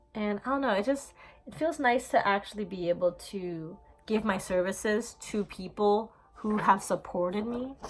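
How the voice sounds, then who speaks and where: A woman's medium-pitched voice with ordinary pitch variation, against noticeable background noise. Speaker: esthetician. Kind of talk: casual vlog introduction. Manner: stuttering.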